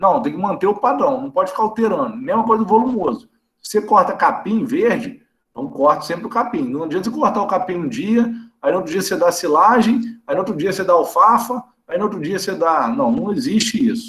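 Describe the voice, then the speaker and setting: This man talks at a fairly quick pace in a high voice. His intonation is lively. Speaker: veterinarian lecturer. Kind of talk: online lecture. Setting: video call. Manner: fast; casual, conversational.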